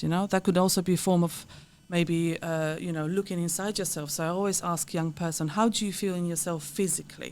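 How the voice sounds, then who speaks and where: A woman with a Polish accent talks at a fairly quick pace and fairly low pitch in a monotone, flat delivery, on a very clean recording with a silent background. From Poland. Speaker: counselor and therapist. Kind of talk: podcast interview.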